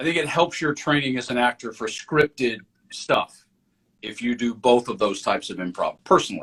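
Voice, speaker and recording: A man with an American accent speaks at a fairly quick pace with lively intonation. His fairly high voice has a bright, sharp tone in a dry, close sound with no echo. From rural US South. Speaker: actor and acting career coach. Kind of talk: casual interview chat.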